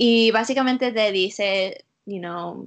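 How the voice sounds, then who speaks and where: A woman's voice is heard. It rests at a medium pitch. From US, Utah. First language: English (speaking Spanish). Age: 20s. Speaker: school counselor. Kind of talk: interview. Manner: halting.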